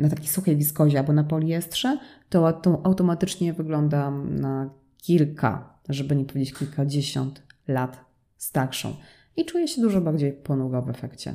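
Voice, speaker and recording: A woman speaks with fairly even intonation in a very deep, low pitch. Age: 30s. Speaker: fashion designer and brand owner. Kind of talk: solo podcast monologue.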